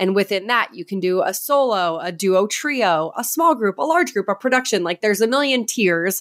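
With an American accent, a woman speaks at a medium pitch and a moderate pace, her intonation lively and her tone animated. The recording is very clean, with a silent background. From New Hampshire, US. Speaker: podcast host and race announcer. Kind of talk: casual interview chat.

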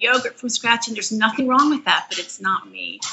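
Fairly quick speech amid noticeable background noise. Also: woman. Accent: American. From Philadelphia, US. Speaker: author and mother of eight. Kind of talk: podcast interview.

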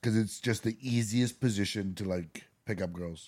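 A man speaks in a normal speaking voice at a fairly low pitch with ordinary pitch variation. The recording is very clean, with a silent background. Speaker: podcast co-host. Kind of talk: casual chat.

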